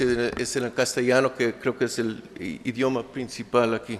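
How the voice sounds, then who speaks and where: In a monotone, flat intonation, a man speaks at a medium pitch and a fairly slow pace. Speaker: sociologist researcher. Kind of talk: academic conference presentation. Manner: halting, many fillers and restarts.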